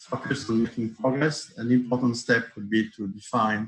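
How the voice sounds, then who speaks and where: With a French accent, a man speaks fairly slowly at a medium pitch. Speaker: accessibility expert panelist. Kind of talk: panel discussion. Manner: halting, many fillers.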